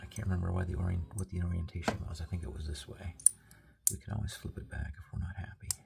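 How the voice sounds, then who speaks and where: Soft-spoken and very deep in pitch, a man talks at a fairly quick pace with ordinary pitch variation. Noticeable background noise sits behind him. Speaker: product reviewer. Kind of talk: product review. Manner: casual.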